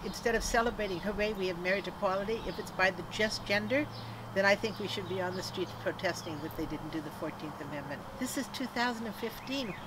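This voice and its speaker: A woman's medium-pitched voice at a very fast pace, with ordinary pitch variation, audible room echo and noticeable background noise. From Canada. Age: 70s. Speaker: activist and former comedian. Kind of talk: interview. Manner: animated.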